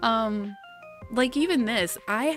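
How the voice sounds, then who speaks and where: Over music in the background, a woman with a fairly high pitch speaks at a very slow pace with very wide pitch swings. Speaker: streamer. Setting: home microphone, volume boosted.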